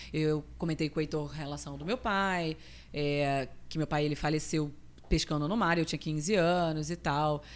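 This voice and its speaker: Speaking at a moderate pace, a woman with a very deep, low voice keeps her intonation fairly even. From Rio de Janeiro state interior and Espírito Santo, Brazil. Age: 30s. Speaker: nutritionist. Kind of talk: casual interview.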